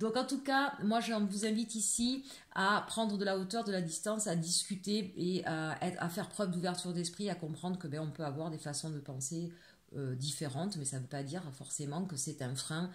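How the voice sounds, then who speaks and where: Her pitch fairly low, a woman talks at a fairly quick pace with lively intonation. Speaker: tarot card reader. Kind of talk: tarot reading guidance. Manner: fast at times; hesitant, many fillers.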